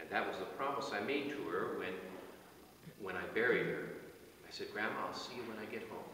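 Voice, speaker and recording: Speech comes at a fairly quick pace, with strong room echo and light background noise. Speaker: officiant at a burial service. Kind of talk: sermon at a burial service, reading psalm and offering comfort. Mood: solemn, personal, comforting. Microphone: camera far.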